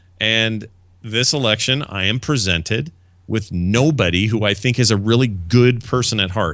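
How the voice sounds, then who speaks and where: Here is a man with an ordinary speaking voice and an American accent, pitched at a medium level with ordinary pitch variation. He talks at a moderate pace on a very clean recording with a silent background. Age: 40s. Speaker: podcaster. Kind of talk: casual chat.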